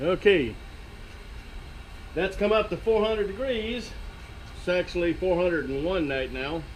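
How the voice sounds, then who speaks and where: A man's high-pitched voice at a moderate pace, with long, frequent pauses. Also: lively intonation. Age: 60s. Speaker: DIY workshop video maker. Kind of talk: tutorial. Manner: halting, with many fillers.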